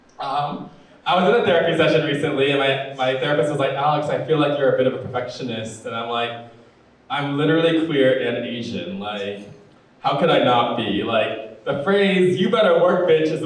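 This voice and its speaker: The speech moves at a fairly quick pace with ordinary pitch variation. Audible room echo and noticeable background noise are present. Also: man. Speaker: comedian. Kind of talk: stand-up. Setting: stage with audience.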